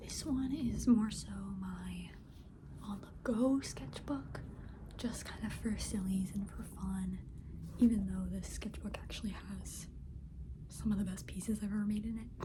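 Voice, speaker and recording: A soft-spoken woman whispers at a fairly slow pace, with big swings in loudness. Noticeable background noise is present. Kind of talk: asmr sketchbook tour, casual talk to camera. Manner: soft-spoken, whispery.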